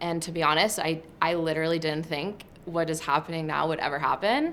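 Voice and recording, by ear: A woman talks at a fairly quick pace, her pitch low with ordinary variation. Her tone is fairly bright.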